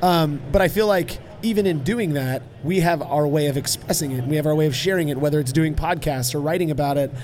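A man at a very fast pace with ordinary pitch variation, music playing in the background. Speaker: homebrewing blogger and guest. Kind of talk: casual interview chat. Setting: live on convention floor.

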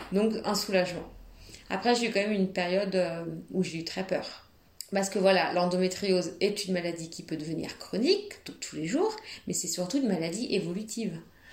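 Speaking at a fairly quick pace, a woman with a medium pitch and a somewhat breathy voice keeps her intonation fairly even. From France, Nantes. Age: 30s. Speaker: asylum lawyer sharing illness story. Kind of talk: testimony. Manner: hesitant, many fillers.

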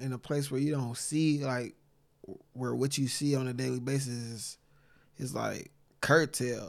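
An unremarkable speaking voice, a man's at medium pitch, comes with an American accent, fairly even intonation and a fairly slow pace on a very clean recording with a silent background. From Saginaw, Michigan. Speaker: poet and author. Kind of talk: casual chat.

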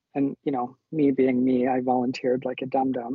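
A man speaking at a moderate pace, his pitch fairly high. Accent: Canadian. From rural northern Alberta, Canada. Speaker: nurse and nursing educator. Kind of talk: casual interview chat.

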